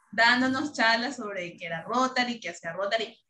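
A woman speaks in a raised, projected voice. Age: 20s. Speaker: founding member of a youth service club. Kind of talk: casual interview.

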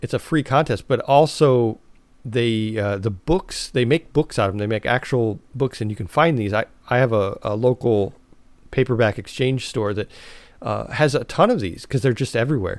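In a very clean recording over a silent background, a man has an unremarkable speaking voice at medium pitch, with ordinary pitch variation and a moderate pace. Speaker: podcast host. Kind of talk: casual chat.

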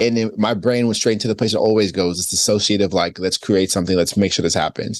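At a very fast pace, a man with a fairly low pitch talks with fairly even intonation. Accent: American. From New York. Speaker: author. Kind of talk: casual chat.

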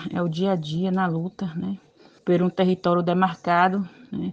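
Over noticeable background noise, a woman speaks in a medium pitch. Her delivery is fairly slow and monotone, with flat intonation. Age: 50s. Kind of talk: recorded testimony.

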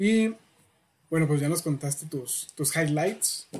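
A man speaks at a fairly slow pace in a fairly high, somewhat breathy voice. He has a Mexican accent. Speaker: podcast host. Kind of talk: casual interview.

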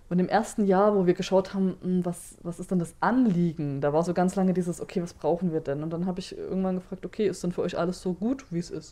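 With hardly any pauses, a woman talks at a very fast pace in a dark, mellow tone, at medium pitch and with fairly even intonation. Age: 30s. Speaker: social worker at a queer youth centre. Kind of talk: interview.

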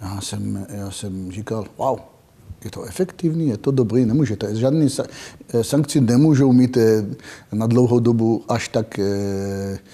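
A man with a dark, mellow voice at a medium pitch speaks fairly slowly, with long, frequent pauses. His pitch varies in an ordinary way while his loudness swings widely. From Israel. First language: not Czech (speaking Czech). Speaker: security expert. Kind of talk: interview. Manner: halting.

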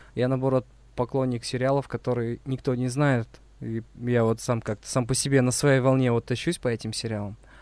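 Delivery is at a moderate pace. Intonation stays monotone and flat. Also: man, medium pitch for a man. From Uzbekistan. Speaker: podcast host. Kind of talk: casual chat.

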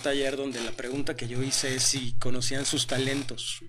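A man talks at a moderate pace with a Mexican accent. His tone is bright and sharp. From Mexico. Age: 40s. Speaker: self-development speaker and mentor. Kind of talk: interview.

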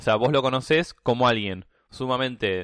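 With a Rioplatense accent, a man speaks with ordinary pitch variation in a dry, close sound with no echo against a quiet background. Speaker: podcast guest. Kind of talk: casual chat. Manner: halting, many fillers.

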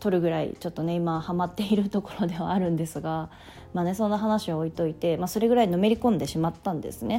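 Very fast speech comes from a woman with a fairly low voice. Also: ordinary pitch variation. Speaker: podcast host. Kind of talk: solo talk podcast monologue.

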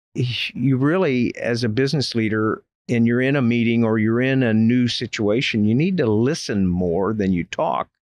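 A man with an unremarkable speaking voice and an American accent. His intonation is fairly even and his pace moderate. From Florida, Polk County. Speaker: retired Air Force general, business consultant. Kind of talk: interview.

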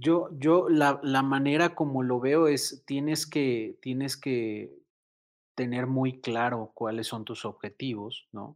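A man's very slow speech at a medium pitch with fairly even intonation, in a very clean recording with a silent background. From Mexico City. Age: 30s. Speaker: sneaker influencer and entrepreneur. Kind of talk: casual interview. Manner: halting, many repetitions and fillers.

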